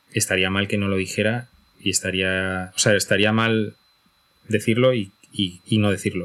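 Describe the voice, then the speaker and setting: A man with a fairly low pitch talks in a monotone, flat intonation, leaving long, frequent pauses. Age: 40s. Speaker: podcaster and podcast platform executive. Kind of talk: casual chat.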